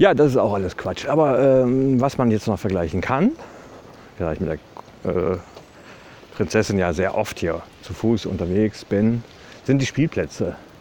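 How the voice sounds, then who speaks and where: Over noticeable background noise, a man with fairly low pitch talks at a moderate pace with lively intonation and long, frequent pauses. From Westphalia, Germany (Ibbenbüren). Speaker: podcaster. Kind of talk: casual monologue. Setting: outdoors, walking.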